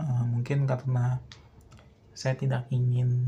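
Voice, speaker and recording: Somewhat breathy, a man speaks at a moderate pace with a dark, mellow tone and a medium pitch. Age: 20s. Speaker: film student. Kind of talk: personal monologue. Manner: hesitant, many filler sounds.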